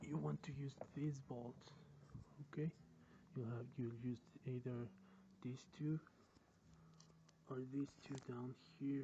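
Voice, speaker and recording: Speaking at a very slow pace with long, frequent pauses, a man with a non-native accent uses a somewhat breathy, dark and mellow tone at medium pitch with fairly even intonation. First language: not English. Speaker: car DIY hobbyist. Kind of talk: casual how-to explanation to camera.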